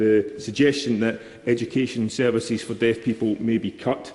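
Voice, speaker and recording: At a moderate pace, a man talks with a Scottish accent. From Scotland, East Kilbride. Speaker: member of parliament. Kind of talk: parliamentary speech. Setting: parliament chamber. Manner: formal.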